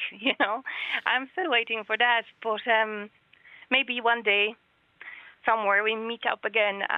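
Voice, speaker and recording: With a Polish accent, a woman speaks at a fairly slow pace in a fairly high pitch. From Poland. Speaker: guest. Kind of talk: radio interview, emotional.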